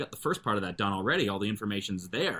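In a normal speaking voice, a man with a Canadian accent talks at a fairly quick pace. His pitch is fairly low. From Canada, Calgary and Kingston, Ontario. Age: 40s. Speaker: Korean language teacher. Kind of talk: casual interview.

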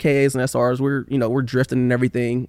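A man with an American accent at a very fast pace, in a dry, close sound with no echo. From Oakland, California (Bay Area). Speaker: car builder and drifter, YouTuber. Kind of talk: casual chat.

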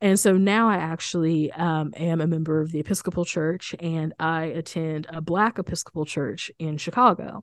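A woman with an American accent, fairly low-pitched, with ordinary pitch variation, a moderate pace and hardly any pauses, against a quiet background. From rural Missouri, US Midwest. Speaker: author and minister. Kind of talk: interview. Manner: halting, many fillers and repeats.

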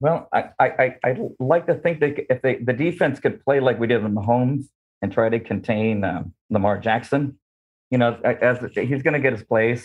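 A man's ordinary speaking voice, American accent, medium pitch, moderate pace and ordinary pitch variation. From Southern California. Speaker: fan guest. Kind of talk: interview. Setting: video call.

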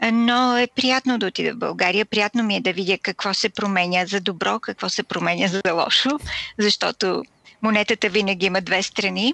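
A woman's medium-pitched voice with vocal fry and a bright, sharp tone, fairly even intonation, very even loudness and a moderate pace, in a dry, close sound with no echo. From Bulgaria. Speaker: radio producer and host. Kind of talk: interview.

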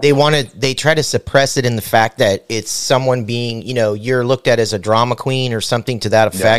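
In a dry, close sound with no echo, a man with an ordinary speaking voice talks at a medium pitch and fairly quick pace, with fairly even intonation and hardly any pauses. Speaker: podcast host. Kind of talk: casual comedic interview chat. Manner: joking, crude humor.

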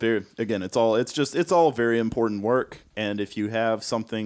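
In an unremarkable speaking voice, a man talks at a fairly quick pace with a medium pitch and ordinary pitch variation, recorded very cleanly against a silent background. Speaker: podcast co-host. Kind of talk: casual interview.

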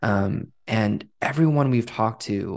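A man speaks in a fairly low pitch, with a quiet background behind him. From Southern California (Westminster, Little Saigon). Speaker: executive director of cultural nonprofit. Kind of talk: interview. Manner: frequent fillers (um, uh).

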